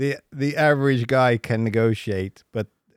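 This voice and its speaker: A British accent in a very clean recording with a silent background, dry and close with no echo. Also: man. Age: 40s. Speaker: podcast host. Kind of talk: casual chat.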